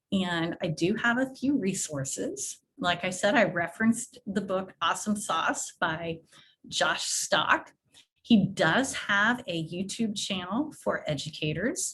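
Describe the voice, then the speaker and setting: With a bright, sharp tone and lively intonation, a woman speaks at a very slow pace. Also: medium pitch for a woman. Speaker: education technology presenter. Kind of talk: webinar presentation. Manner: casual.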